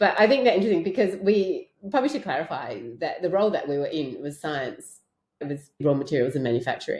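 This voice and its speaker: Speaking at a very fast pace in an Australian accent, a woman of medium pitch makes very wide pitch swings. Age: 50s. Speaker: podcast co-host and artist. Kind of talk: casual chat.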